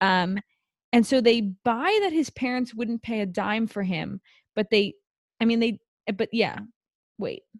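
A woman with an American accent speaks at a fairly high pitch and a fairly slow pace, somewhat breathy, with long, frequent pauses. The sound is dry and close, with no echo. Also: ordinary pitch variation. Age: 20s. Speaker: podcast co-host. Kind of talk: casual chat.

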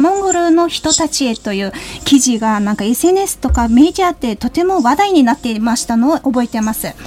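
Against noticeable background noise, a woman talks in a high pitch with very wide pitch swings. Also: moderate pace. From Mongolia. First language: Mongolian (speaking Japanese). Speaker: radio host. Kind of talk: radio interview. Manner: hesitant, frequent fillers.

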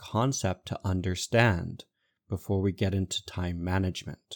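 In a very clean recording with a silent background and a dry, close sound with no echo, a man speaks in a plain, everyday voice at a fairly low pitch, with fairly even intonation and a moderate pace. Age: 30s. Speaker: executive coach and podcast host. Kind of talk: solo podcast monologue on leadership.

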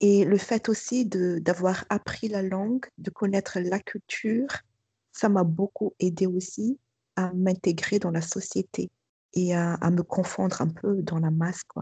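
A woman speaks very slowly at a medium pitch in a dark, mellow tone that is somewhat breathy. Her intonation stays fairly even, and the sound is dry and close with no echo. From Madagascar. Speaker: school principal. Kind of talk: testimony. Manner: hesitant.

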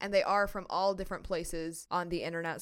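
A woman with a Midwestern American accent talks at a fairly quick pace and medium pitch. The recording is very clean, with a silent background. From United States. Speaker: podcast host. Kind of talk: solo educational podcast.

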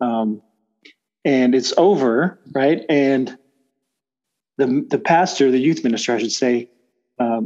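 With a dark, mellow tone, a man speaks fairly slowly at a medium pitch and with ordinary pitch variation. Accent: Texan. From Texas Gulf Coast. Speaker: church elder, oil and gas worker. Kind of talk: casual interview.

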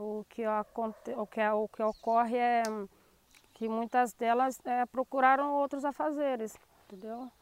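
A woman with a high pitch talks at a fairly slow pace, using fairly even intonation and long, frequent pauses. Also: dry, close sound with no echo. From Brazil, Angra dos Reis (Rio de Janeiro state coast). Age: 40s. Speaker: teacher and shellfish gatherer, community representative. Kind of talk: interview testimony. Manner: halting, many fillers.

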